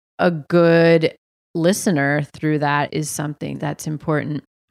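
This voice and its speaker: A woman with an American accent talks at a very slow pace in a very deep, low voice. The recording is very clean, with a silent background. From New England (Massachusetts, New Hampshire). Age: 30s. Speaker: writer and teacher. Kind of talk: casual interview about grief.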